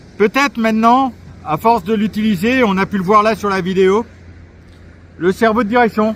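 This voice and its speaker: Loud and high-pitched, a man talks at a moderate pace with fairly even intonation. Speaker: RC model reviewer. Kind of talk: product review. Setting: outdoors at the beach. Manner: hesitant with fillers.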